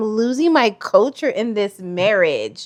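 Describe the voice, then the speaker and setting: A loud woman's voice with an American accent, at a moderate pace. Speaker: vlogger. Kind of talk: casual chat.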